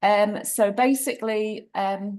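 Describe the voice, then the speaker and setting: A woman with a British accent speaks at a fairly high pitch. The background is quiet. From UK. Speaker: cooking demonstrator. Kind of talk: cooking demo on video call. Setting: video call.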